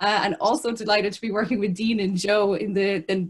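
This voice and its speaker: A woman talks very fast in a Kerry accent. Her pitch sits in the medium range, with fairly even intonation. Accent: Kerry Irish. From Kerry, Ireland; Ireland. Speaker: biosphere officer; webinar host from a biosphere reserve. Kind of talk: webinar introduction. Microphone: video call.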